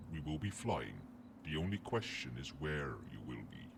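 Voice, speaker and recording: A man performs a put-on character voice. Loud background noise is heard behind him. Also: moderate pace. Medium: solo performance. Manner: formal, lordly, condescending.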